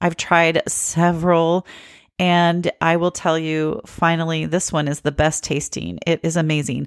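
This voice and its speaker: In a very clean recording with a silent background and a dry, close sound with no echo, a woman with a very deep, low pitch and a slight Southern US accent talks at a moderate pace. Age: 50s. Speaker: podcast host. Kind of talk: solo podcast talk.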